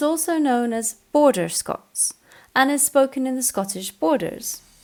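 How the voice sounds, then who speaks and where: A woman speaks at a high pitch and a fairly slow pace, with music in the background. Her pitch swings very widely. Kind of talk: educational narration.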